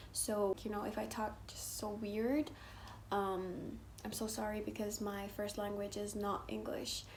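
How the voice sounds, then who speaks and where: A woman's monotone, flat delivery in a Persian accent, at a fairly slow pace, with audible room echo. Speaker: social media creator. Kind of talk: casual vlog talk to camera. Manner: hesitant, many fillers.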